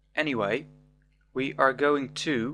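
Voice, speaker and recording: Over music in the background, a man speaks at a very slow pace with fairly even intonation. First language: not English. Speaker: programming tutor. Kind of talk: tutorial.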